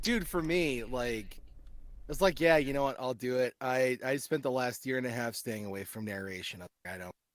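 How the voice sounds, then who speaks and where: A man with an American accent talks in an ordinary speaking voice at a medium pitch with lively intonation. The recording is very clean, with a silent background. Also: moderate pace. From US Midwest, central Missouri. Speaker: voice actor and audio engineer. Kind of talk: casual chat.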